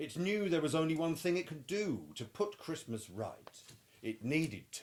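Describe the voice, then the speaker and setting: Man with a British accent, fairly high pitch, lively intonation and a moderate pace. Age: middle-aged. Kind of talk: children's picture book read-aloud.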